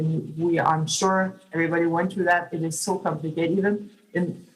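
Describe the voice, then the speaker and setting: Monotone, flat speech at a fairly quick pace, with audible room echo. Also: woman. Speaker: public oversight official. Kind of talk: conference talk. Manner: halting, many fillers.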